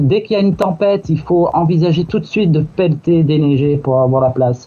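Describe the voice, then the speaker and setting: At a moderate pace, a man speaks with a fairly high pitch. The recording has noticeable background noise. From southern France, Marseille. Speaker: YouTuber, expatriate. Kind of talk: radio interview.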